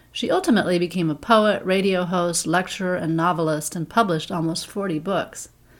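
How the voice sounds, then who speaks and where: A normal speaking voice moves at a moderate pace on a very clean recording with a silent background. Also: woman. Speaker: podcast host reading poetry. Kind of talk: poem performed, reading verse aloud. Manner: calm, soothing, lyrical cadence.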